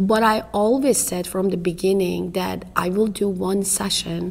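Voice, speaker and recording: A woman speaks with an Iranian accent. Noticeable background noise runs underneath. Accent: foreign accent (Iranian). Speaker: family therapist and professor. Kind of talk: interview. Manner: halting.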